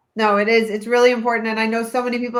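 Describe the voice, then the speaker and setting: A woman speaks at a very fast pace. Her voice sits fairly high. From Canada, Toronto area. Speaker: childbirth educator, webinar host. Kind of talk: live webinar.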